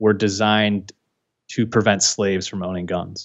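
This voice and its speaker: At a moderate pace, a man with a fairly low pitch speaks in a Californian accent. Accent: General American (Californian). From San Francisco, US West Coast. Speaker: political YouTuber. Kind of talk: interview.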